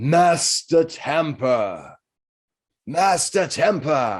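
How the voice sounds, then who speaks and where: A very slow, put-on character voice from a man, fairly high pitched, on a very clean recording with a silent background. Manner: commanding, dramatic.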